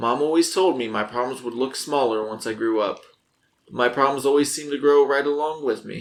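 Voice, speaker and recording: With a put-on character voice, a gruff man speaks at a fairly quick pace and a medium pitch. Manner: muttering.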